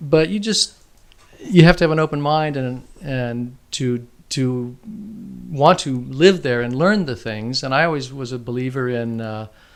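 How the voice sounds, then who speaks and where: A man speaks at a fairly slow pace in an American accent. His pitch is medium and its variation is ordinary. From Southern California (Oceanside). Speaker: educator and filmmaker. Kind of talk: casual interview chat. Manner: halting, with false starts.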